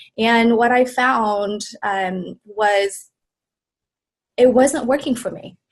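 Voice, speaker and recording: Very slowly, a woman speaks with a Vietnamese accent. Her intonation is fairly even. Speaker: wellness coach and business founder. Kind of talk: interview.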